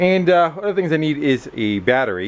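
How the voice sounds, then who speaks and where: At a moderate pace, a man talks in an ordinary speaking voice over light background noise. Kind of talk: casual repair vlog. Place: garage. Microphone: phone near.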